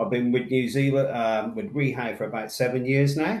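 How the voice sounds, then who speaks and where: This man speaks in a Somerset accent. His pitch is medium. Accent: Somerset twang. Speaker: industry sales manager. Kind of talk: webinar presentation. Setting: online webinar. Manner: deliberately slow.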